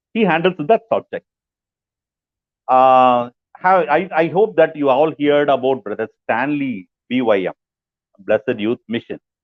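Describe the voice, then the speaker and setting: A man's fairly high, slow-paced voice with lively intonation, long, frequent pauses and an Indian accent. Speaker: pastor, book review presenter. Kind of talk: book review talk. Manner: slow, repetitive.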